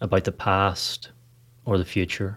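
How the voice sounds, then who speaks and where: On a very clean recording with a silent background, a man speaks at a fairly low pitch and a fairly slow pace in an ordinary speaking voice. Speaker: meditation guide podcast host. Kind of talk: guided meditation. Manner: slow, calm, soothing with long pauses; soft-spoken and gentle.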